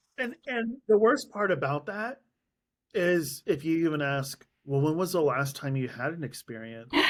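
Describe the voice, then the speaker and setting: Over a silent background in a very clean recording, a man with an American accent talks at a fairly high pitch with very wide pitch swings. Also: moderate pace. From US. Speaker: podcast host. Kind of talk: casual interview. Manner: animated.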